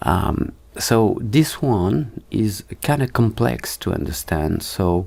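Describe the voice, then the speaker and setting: A man with a fairly low-pitched voice talks at a very slow pace, his pitch swinging very widely. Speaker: 3D and motion design teacher. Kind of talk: tutorial. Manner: halting, many fillers.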